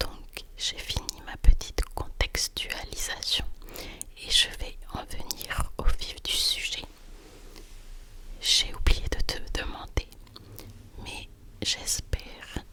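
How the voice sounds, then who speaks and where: Whispering at a very slow pace, a woman leaves long, frequent pauses, with big swings in loudness and noticeable background noise. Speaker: ASMR creator. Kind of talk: ASMR bedtime story. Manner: whispered.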